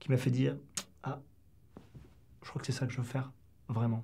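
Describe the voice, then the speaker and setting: Against a quiet background, a man speaks at a medium pitch in a somewhat breathy voice. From southwest France. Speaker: former special forces soldier. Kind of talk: interview. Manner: halting. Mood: calm, reflective storytelling. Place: studio.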